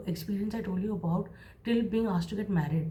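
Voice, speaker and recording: A woman's voice with fairly even intonation, amid audible room echo. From India, Mumbai. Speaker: creative professional and vlogger. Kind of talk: motivational advice monologue.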